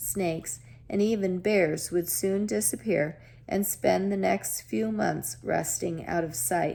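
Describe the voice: The clip is plain reading aloud. Pitch varies in an ordinary way.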